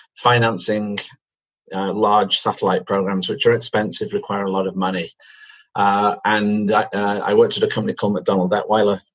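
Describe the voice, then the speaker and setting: Here a man speaks with a British accent. His pace is moderate. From Manchester, England. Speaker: company chief executive. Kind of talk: interview. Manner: hesitant fillers.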